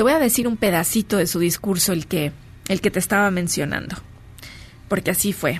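A woman with a medium pitch talks at a fairly quick pace, yet with long, frequent pauses. Her tone is animated, her intonation lively, and her voice somewhat breathy. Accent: Mexican. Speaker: spiritual speaker and radio host. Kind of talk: live radio talk show; reading aloud.

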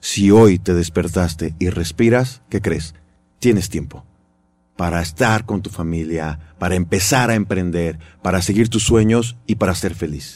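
At a fairly slow pace, a man with a very deep, low pitch talks with ordinary pitch variation. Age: 40s. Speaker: radio host and motivational speaker. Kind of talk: casual interview.

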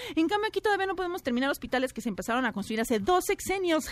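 Very wide pitch swings mark this woman's very fast speech. Noticeable background noise is present. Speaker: entertainment and gossip commentator. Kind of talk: scripted comedic gossip segment.

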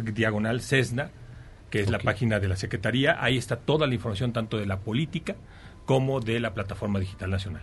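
A man talks at a fairly quick pace, his voice somewhat breathy. His pitch is medium, with ordinary variation. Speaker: government official. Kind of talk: interview. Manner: formal.

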